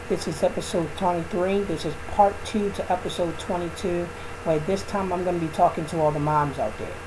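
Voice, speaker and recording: Noticeable background noise runs behind a man speaking at a fairly quick pace. His high voice stays monotone and flat. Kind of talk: spoken word monologue to camera. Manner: casual, preachy.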